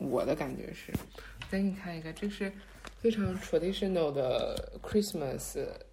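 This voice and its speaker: A fairly slow-paced woman's voice in a room with audible echo. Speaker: podcast co-host. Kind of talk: casual chat.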